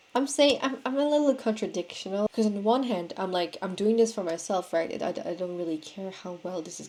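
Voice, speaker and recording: Talking at a very fast pace with hardly any pauses, a woman of medium pitch and a non-native accent uses lively intonation and big swings in loudness. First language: not English. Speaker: vlogger. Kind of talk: casual monologue. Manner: halting, many fillers.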